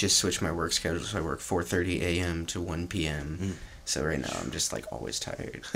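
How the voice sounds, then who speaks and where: Very deep, low male voice with vocal fry, ordinary pitch variation and a fairly quick pace. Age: 20s. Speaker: singer-songwriter. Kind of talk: casual chat. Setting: studio.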